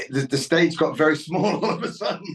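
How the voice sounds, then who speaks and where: A fairly slow pace with ordinary pitch variation. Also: man. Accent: British. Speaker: country singer. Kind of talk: interview answer. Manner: casual, hesitant.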